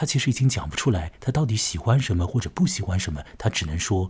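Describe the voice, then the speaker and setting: A man speaks at a fairly quick pace with a somewhat breathy voice. His pitch is fairly low but swings very widely. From Chongming Island, Shanghai. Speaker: podcast host, journalist. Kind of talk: monologue narration. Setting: alone at home at night.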